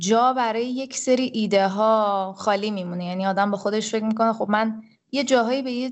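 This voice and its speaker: Here a woman has a plain, everyday voice, fairly high in pitch. She moves at a fairly quick pace with fairly even intonation. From Iran, Tehran. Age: 30s. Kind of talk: casual interview.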